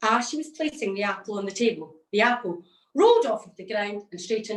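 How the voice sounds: A natural reading voice moves with lively intonation, and the background stays quiet.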